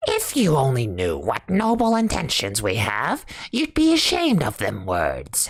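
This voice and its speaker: The voice is an exaggerated put-on character. Its speed is moderate. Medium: read story.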